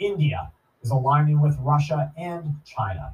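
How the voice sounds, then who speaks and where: Fairly slow and somewhat breathy, a man speaks at a fairly high pitch with ordinary pitch variation. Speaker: prepper podcast host. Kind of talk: monologue commentary. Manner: earnest, emphatic.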